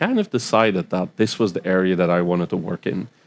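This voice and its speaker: Recorded very cleanly against a silent background, a man with a Belgian accent speaks in a fairly low pitch with ordinary pitch variation. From Belgium. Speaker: cybersecurity expert. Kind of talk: podcast interview. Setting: live festival recording. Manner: hesitant fillers.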